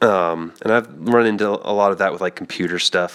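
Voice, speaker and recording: A man with an American accent at a fairly slow pace, with ordinary pitch variation and noticeable background noise. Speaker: costume maker. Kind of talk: live stream tutorial chat. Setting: live stream. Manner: casual, hesitant with fillers.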